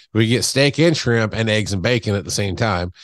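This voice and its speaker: A man with a Southern US accent speaks at a medium pitch and a fairly quick pace. His intonation is lively, and the background is quiet. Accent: Southern US (Georgia). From US South, south Georgia. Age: 40s. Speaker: podcast guest sharing weight loss story. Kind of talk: casual interview chat. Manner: loud, big personality.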